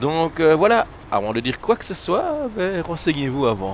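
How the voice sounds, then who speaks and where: A man with a German accent speaks at a fairly slow pace with very wide pitch swings. Noticeable background noise is present. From Germany, Rhineland-Palatinate area. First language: German (bilingual French-German) (speaking French). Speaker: gaming YouTuber, former truck driver. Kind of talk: casual gameplay commentary. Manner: hesitant, many fillers.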